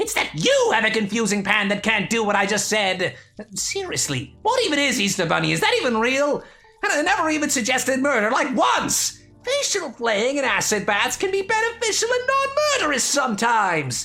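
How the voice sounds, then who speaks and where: A put-on character voice talks at a moderate pace and a fairly high pitch. Music plays in the background. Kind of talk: comedic audio drama roleplay. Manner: angry, shouting, insulting.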